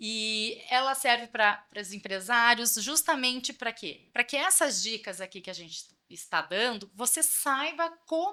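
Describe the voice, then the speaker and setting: A woman's high, bright, sharp voice at a fairly slow pace, with very wide pitch swings and big swings in loudness. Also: hardly any pauses. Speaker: financial consultant, podcast co-host. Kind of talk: podcast chat, event promotion.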